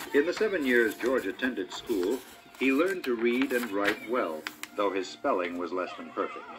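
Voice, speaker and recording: Behind a man speaking at a medium speed, clear music can be heard. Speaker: audiobook narrator. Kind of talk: storybook narration. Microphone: old recording.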